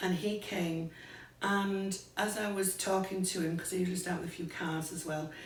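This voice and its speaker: In a Greater Manchester accent, a woman speaks at a moderate pace with fairly even intonation, and room echo is audible. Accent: broad Oldham. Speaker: psychic medium. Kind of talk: casual interview chat.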